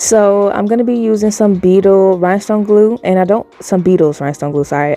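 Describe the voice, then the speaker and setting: A woman speaks with music in the background. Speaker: nail art youtuber. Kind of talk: voiceover tutorial. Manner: fast.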